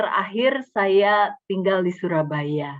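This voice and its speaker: The speaker is a woman at a medium pitch. She talks at a fairly slow pace. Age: 60s. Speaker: speaker at church fellowship, former banker. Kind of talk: talk at church fellowship. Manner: halting.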